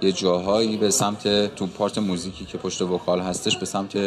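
Noticeable background noise sits behind a man speaking at a moderate pace. His fairly low voice has monotone, flat intonation. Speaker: musician and surgeon. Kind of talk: interview.

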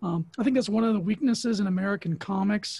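Moving at a fairly quick pace, a man with a high pitch has a dark, mellow tone. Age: 40s. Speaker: comic book artist. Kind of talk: casual chat.

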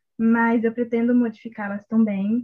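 Monotone, flat intonation, somewhat breathy, with a dry, close sound and no echo. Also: woman. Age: 20s. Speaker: law student and fanfiction writer. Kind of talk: casual interview chat.

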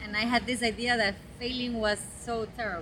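A woman talks at a high pitch and a moderate pace. Noticeable background noise can be heard. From Guatemala. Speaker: social entrepreneur. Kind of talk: interview. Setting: outdoors in a park. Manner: halting, many repeated words.

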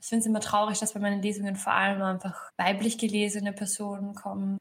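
At a very fast pace, a woman speaks in a medium-pitched voice. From Upper Austria, rural. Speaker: author. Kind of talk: interview.

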